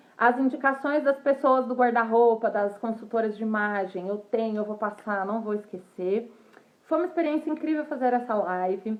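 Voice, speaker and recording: This woman has a plain, everyday voice with a fairly high pitch. She speaks at a moderate pace with ordinary pitch variation. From Brazil. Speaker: fashion professional. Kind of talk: casual livestream talk. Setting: livestream.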